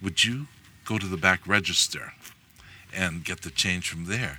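Bright and sharp in tone, a man with a Hawaiian accent speaks at a fairly low pitch. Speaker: Native Hawaiian activist. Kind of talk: personal storytelling. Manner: halting.

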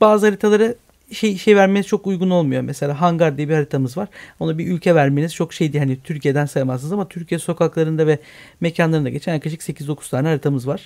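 A man's fairly high voice at a very fast pace with ordinary pitch variation, in a very clean recording with a silent background. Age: 30s. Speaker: online game community manager. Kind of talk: radio interview.

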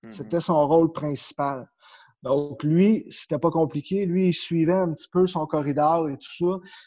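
Speaking at a fairly slow pace with a Quebec accent, a man has a dark, mellow tone, ordinary pitch variation and big swings in loudness. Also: fairly high pitch for a man. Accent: Québécois French. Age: 30s. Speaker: power skating coach. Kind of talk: interview.

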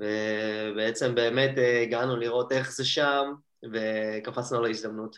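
A man talks at a very slow pace. His pitch is medium and his intonation monotone and flat. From Israel, Hadera. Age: 20s. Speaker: judo athlete. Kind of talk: interview.

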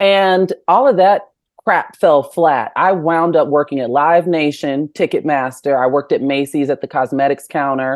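Barely pausing, a woman speaks with an American accent at a very deep, low pitch. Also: ordinary pitch variation, moderate pace. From Chicago suburbs, US Midwest. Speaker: journalist. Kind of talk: casual interview chat.

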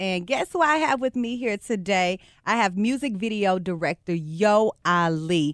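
A woman with an American accent and an unremarkable speaking voice speaks at a medium pitch and fairly slow pace with lively intonation, the sound dry and close with no echo in a very clean recording with a silent background. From Texas. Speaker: podcast host. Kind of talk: interview.

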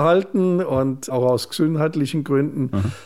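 A man with a plain, everyday voice, ordinary pitch variation and a fairly slow pace. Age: 60s. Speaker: bishop. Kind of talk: radio interview.

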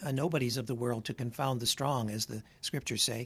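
A somewhat breathy man's voice at medium pitch and a fairly quick pace. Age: old. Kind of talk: casual chat.

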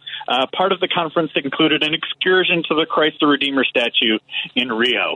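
Using an ordinary speaking voice, a man talks at a fairly quick pace and fairly high pitch with ordinary pitch variation. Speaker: political podcast host. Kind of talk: casual political chat. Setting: phone call.

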